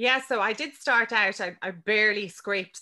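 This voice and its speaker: A woman with an Irish accent, bright, sharp tone and moderate pace, in a very clean recording over a silent background. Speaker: business mentor and podcaster. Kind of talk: casual interview.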